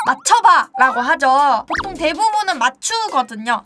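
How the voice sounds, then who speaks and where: A woman's raised, projected voice at a fairly slow pace, with very wide pitch swings and music in the background. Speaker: streamer. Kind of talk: mock presentation to stream chat. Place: home room. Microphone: handheld.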